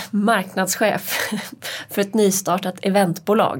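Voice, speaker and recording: Medium pitch from a woman, recorded very cleanly against a silent background. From Hälsingland, Sweden. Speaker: podcast co-host, press officer. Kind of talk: casual chat. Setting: studio.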